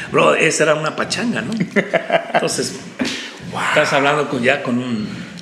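Lively intonation carries a central Mexican accent at a fairly slow pace. Noticeable background noise runs underneath. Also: man, fairly high pitch for a man. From Mexico, State of Mexico. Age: 50s. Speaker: preacher. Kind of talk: interview conversation.

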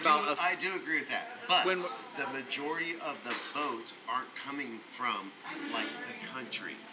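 Pitched fairly high, a man speaks at a fairly slow pace with very wide pitch swings. There is noticeable background noise. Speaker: podcast panelist. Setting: live podcast recorded in a bar.

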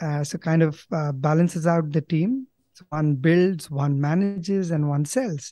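With an Indian accent, a man speaks at a fairly slow pace in a dark, mellow tone of fairly high pitch, with ordinary pitch variation and big swings in loudness, the sound dry and close with no echo over a quiet background. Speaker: company co-founder. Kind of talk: casual interview. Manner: hesitant, filler words.

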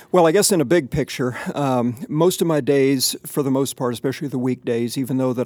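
This man has a plain, everyday voice at a medium pitch, with ordinary pitch variation and a moderate pace. The sound is dry and close, with no echo. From US Midwest. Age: 50s. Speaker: retired pastor. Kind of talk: interview.

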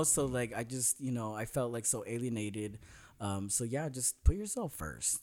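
In a very clean recording with a silent background, a man speaks at a moderate pace with lively intonation in an unremarkable speaking voice. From Northern California. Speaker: special education teacher. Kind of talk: casual chat.

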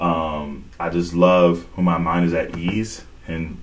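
A man with a very deep, low pitch, at a very slow pace, with audible room echo. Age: 20s. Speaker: podcast co-host. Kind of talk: casual chat.

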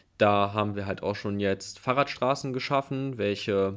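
Moving at a moderate pace, a man talks in an unremarkable speaking voice with ordinary pitch variation. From Hilden, Rhineland, Germany. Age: 20s. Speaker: student and party youth activist. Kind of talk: panel discussion.

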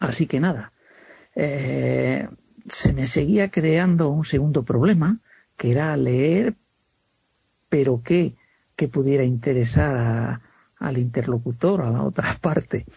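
A man's medium-pitched voice with lively intonation, very slow in pace, broken by long, frequent pauses. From Castile, Spain (Segovia). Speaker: carpenter. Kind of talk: interview. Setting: phone call.

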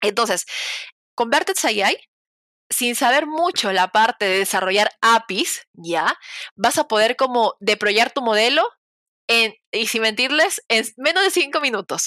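A woman's fairly high, bright, sharp voice swings very widely in pitch, broken by long, frequent pauses. The recording is very clean, with a silent background and a dry, close sound with no echo. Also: fairly slow pace. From Peru (provinces). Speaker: cloud engineer. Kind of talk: interview conversation.

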